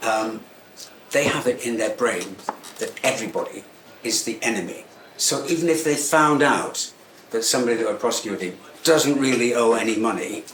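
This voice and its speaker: With an English accent, a man speaks at a moderate pace in a medium pitch with ordinary pitch variation and long, frequent pauses. There is audible room echo and noticeable background noise. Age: 70s. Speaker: tailor and menswear shop owner. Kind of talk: talk to live audience. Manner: halting; cheerful.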